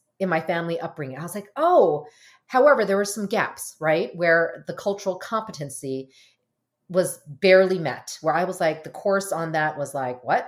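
Using a plain, everyday voice with an American accent, the speaker talks at a moderate pace with lively intonation. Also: woman, very clean recording, silent background. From US (Korean American, arrived as infant). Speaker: marriage and family therapist. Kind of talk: casual interview.

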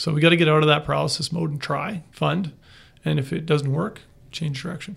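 A fairly quick, fairly high-pitched man's voice in a Western Canadian accent, with vocal fry and fairly even intonation. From northern British Columbia, Canada. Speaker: city manager. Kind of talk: interview.

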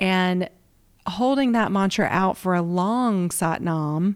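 In a very clean recording with a silent background, a woman speaks with a Southern accent. She talks at a fairly slow pace. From US South. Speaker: yoga and meditation teacher. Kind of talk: interview.

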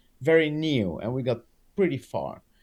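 Speaking with a Dutch accent, a man uses a fairly high pitch and ordinary pitch variation. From Netherlands. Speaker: animal trainer. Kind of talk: casual interview chat. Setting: video call.

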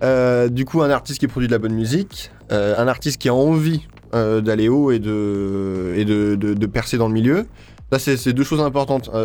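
A man with a dark, mellow tone speaks at medium pitch and a moderate pace, his pitch varying in an ordinary way. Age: 20s. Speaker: psytrance label founder. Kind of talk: radio interview. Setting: radio studio. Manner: hesitant with fillers.

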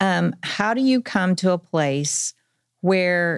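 On a very clean recording with a silent background, a woman speaks with an American accent. Hers is an unremarkable speaking voice, fairly low in pitch with ordinary pitch variation. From Oklahoma, Tulsa. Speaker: career-education program director. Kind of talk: casual interview. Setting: studio.

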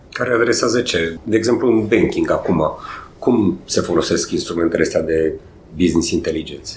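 A moderate pace with very even loudness. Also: man. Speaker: podcast co-host. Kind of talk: interview.

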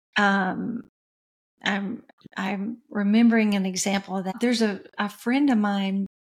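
Somewhat breathy, the voice carries an American accent and fairly even intonation. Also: woman, medium pitch for a woman, fairly slow pace. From West Tennessee, US South. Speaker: music executive and coach. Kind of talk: interview.

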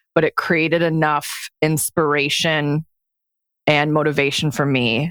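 In a Midwestern American accent, a woman talks at a moderate pace with a very deep, low pitch and fairly even intonation. The recording is very clean, with a silent background and a dry, close sound with no echo. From US Midwest, Detroit area. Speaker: life coach for lawyers, former attorney. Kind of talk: interview conversation.

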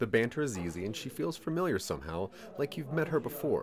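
The voice is natural. It is reading aloud.

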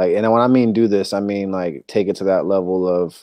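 A man speaks at a moderate pace in a fairly low pitch. His tone is dark and mellow, and the background is quiet. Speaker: basketball podcast co-host. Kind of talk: casual banter chat.

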